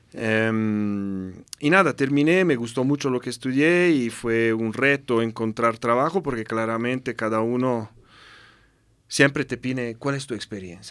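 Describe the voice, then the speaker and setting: Over a very clean recording with a silent background, a man speaks at a moderate pace and medium pitch with ordinary pitch variation. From Italy. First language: Italian (speaking Spanish). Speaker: UN humanitarian representative. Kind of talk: interview conversation. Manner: halting with repetitions.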